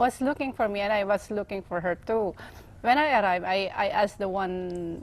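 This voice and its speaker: At a moderate pace, a woman with a Filipino accent speaks in a medium pitch with ordinary pitch variation. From Philippines. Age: 40s. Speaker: pageant winner, civil engineer. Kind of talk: TV interview. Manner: halting.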